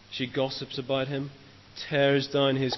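A man with a Northern Irish accent and medium pitch talks at a moderate pace. There is noticeable background noise. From Northern Ireland, Lisburn. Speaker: trainee preacher, former maths teacher. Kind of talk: sermon.

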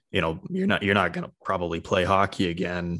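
Here a man speaks with a Canadian accent. His pitch is very deep and low, and his pace is fairly quick. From British Columbia, Canada (Cloverdale). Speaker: podcast host. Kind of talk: casual interview; scripted intro.

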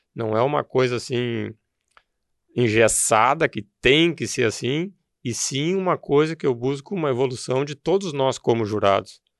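A man speaks in an ordinary speaking voice at a medium pitch and a fairly slow pace, with ordinary pitch variation, a quiet background and a dry, close sound with no echo. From southern Brazil, Rio Grande do Sul (Novo Hamburgo). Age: 50s. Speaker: rural producer and horse show judge coordinator. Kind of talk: interview conversation.

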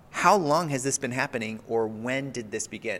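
An unremarkable speaking voice from a man, medium in pitch, at a moderate pace. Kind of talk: casual chat.

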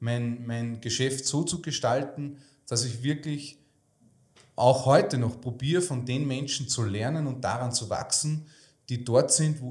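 A man speaks at a fairly slow pace, his somewhat breathy voice keeping a fairly even intonation. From Lower Austria (Melk area). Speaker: financial advisor and entrepreneur. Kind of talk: interview conversation. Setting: in-person, Salzburg.

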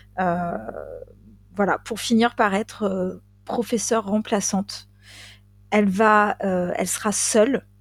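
A woman talks at a very slow pace, with long, frequent pauses and fairly even intonation. The recording is very clean, with a silent background. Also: medium pitch for a woman. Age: 40s. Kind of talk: casual storytelling chat.

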